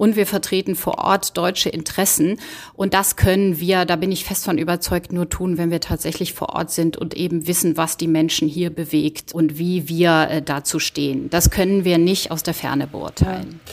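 A woman speaks at a moderate pace in a fairly low, flat monotone with hardly any pauses. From Rhineland, Germany (Bergisch Gladbach). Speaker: diplomat. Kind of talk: interview. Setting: remote call. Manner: formal.

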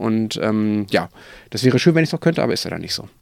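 A man talks very fast, his pitch rising and falling in an ordinary way. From Germany. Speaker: political journalist, podcast co-host. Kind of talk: casual chat.

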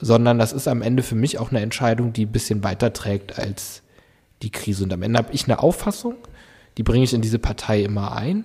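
Speaking very fast, a man with a dark, mellow, somewhat breathy tone keeps a medium pitch and fairly even intonation. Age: 20s. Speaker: local politician. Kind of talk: casual interview. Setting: council building room.

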